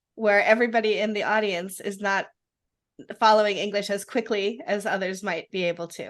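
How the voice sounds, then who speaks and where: A woman talks at a fairly quick pace with a medium pitch. Her intonation stays fairly even. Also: quiet background. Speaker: webinar host. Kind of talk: webinar interview. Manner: fast.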